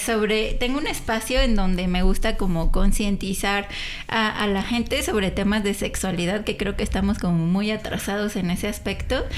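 Against noticeable background noise and audible room echo, a woman with a Mexican accent speaks at a moderate pace and medium pitch with ordinary pitch variation. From Mexico, San Juan. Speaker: career advisor. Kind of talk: casual chat.

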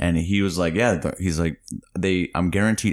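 This man speaks at a fairly quick pace in a very deep, low pitch, with vocal fry and ordinary pitch variation. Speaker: comedian. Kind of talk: casual chat. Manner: laughs often.

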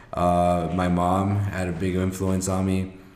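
A man talks at a very deep, low pitch. There is noticeable background noise. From Mexico. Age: 20s. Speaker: podcast co-host and youth mentor. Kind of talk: casual chat. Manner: quiet.

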